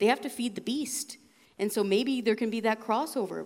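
A woman with a Canadian accent, an unremarkable speaking voice, fairly high pitch, ordinary pitch variation and a fairly quick pace. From Western Canada, BC. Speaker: former TV producer, media commentator. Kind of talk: live talk on stage. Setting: stage with audience.

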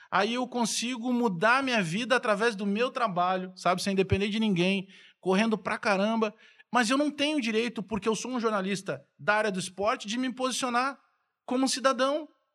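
On a very clean recording with a silent background, a man with a high pitch and a bright, sharp tone speaks at a moderate pace. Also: ordinary pitch variation. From southern Brazil (Rio Grande do Sul, Bagé). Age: 40s. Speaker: sports journalist and radio commentator. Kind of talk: casual chat.

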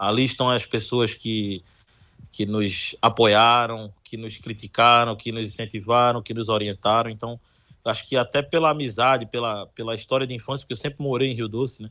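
A man speaks in an unremarkable speaking voice at medium pitch with fairly even intonation. The recording is very clean, the background silent. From Olinda, Pernambuco, Brazil. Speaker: radio sports reporter. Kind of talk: interview.

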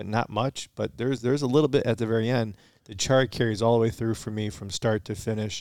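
Recorded very cleanly over a silent background, a man with an American accent has a plain, everyday voice at a medium pitch with ordinary pitch variation. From Michigan, US. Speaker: podcast co-host, bourbon reviewer. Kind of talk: casual chat, tasting review. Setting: home basement.

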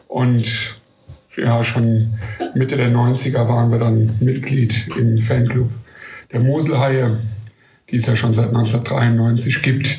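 Very slowly and with long, frequent pauses, a man of medium pitch speaks in a monotone, flat way at very even loudness, with audible room echo. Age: 40s. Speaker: football fan club board member. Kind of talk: interview.

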